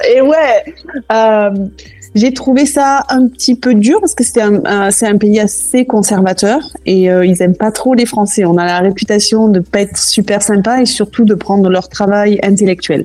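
The speech is fairly slow with ordinary pitch variation and very even loudness. Noticeable background noise runs underneath. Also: woman, fairly high pitch for a woman. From southwest France, Toulouse. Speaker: cooking school founder. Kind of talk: interview.

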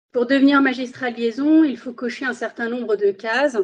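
Her high pitch comes at a moderate pace as a woman speaks. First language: Spanish (speaking French). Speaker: magistrate. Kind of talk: interview. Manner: formal.

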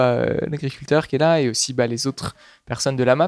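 Recorded with a dry, close sound and no echo, a man talks at a fairly quick pace, medium pitch and fairly even intonation. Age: 20s. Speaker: agricultural researcher. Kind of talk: interview. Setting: on location at a food co-op pickup. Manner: halting.

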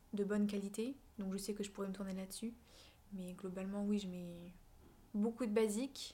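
Somewhat breathy and dark, mellow in tone, a woman speaks at a moderate pace in a flat monotone, stopping for long, frequent pauses. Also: medium pitch for a woman. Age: 20s. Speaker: content creator, student. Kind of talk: casual interview chat.

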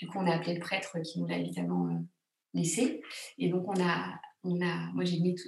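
A woman at a moderate pace, with long, frequent pauses and audible room echo. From France, Grenoble. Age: 40s. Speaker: secular funeral celebrant, former theatre actress. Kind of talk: casual interview. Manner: hesitant, many fillers.

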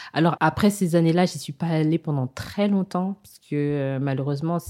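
A woman with a very deep, low pitch and a dark, mellow tone speaks at a moderate pace with fairly even intonation. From Kinshasa, DR Congo. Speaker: travel entrepreneur. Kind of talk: interview. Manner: hesitant, many fillers.

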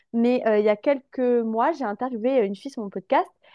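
Her voice is fairly high for a woman, with ordinary pitch variation. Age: 20s. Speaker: confidence coach. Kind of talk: casual interview chat.

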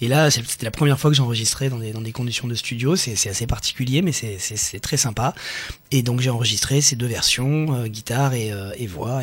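This is an unremarkable speaking voice, a man's, medium in pitch. He moves at a moderate pace with ordinary pitch variation. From Nice, France. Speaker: ukulele player and blogger. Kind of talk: casual chat. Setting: studio.

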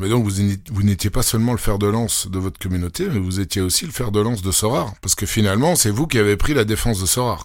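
In a Belgian accent, a man speaks at a very fast pace with hardly any pauses, his fairly low pitch showing ordinary variation. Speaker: podcast host. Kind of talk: podcast interview.

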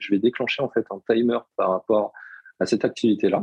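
A man's dark, mellow tone comes at a fairly quick pace, with a dry, close sound and no echo. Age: 30s. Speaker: personal development coach. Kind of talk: podcast interview.

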